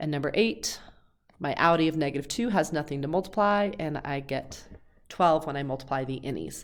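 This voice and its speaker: In a very clean recording with a silent background, a woman with a very deep, low voice speaks fairly quickly with ordinary pitch variation. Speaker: high school math teacher. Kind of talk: tutorial. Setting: recorded video lesson. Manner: fast.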